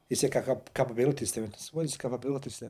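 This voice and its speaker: A man with a Croatian accent speaks at a medium pitch, his voice somewhat breathy. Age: 50s. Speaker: war veteran. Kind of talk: casual chat. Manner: halting.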